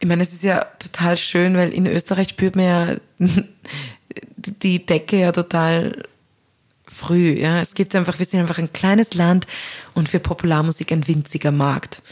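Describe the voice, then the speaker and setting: A woman with a fairly low pitch speaks at a moderate pace in a monotone, flat intonation. Long pauses come often. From Austria. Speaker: singer and composer. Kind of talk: interview.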